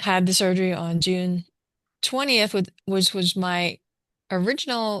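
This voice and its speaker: A woman with an unremarkable speaking voice, fairly low in pitch, in a dry, close sound with no echo and a quiet background. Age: 60s. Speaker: breast cancer survivor. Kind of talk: interview testimony.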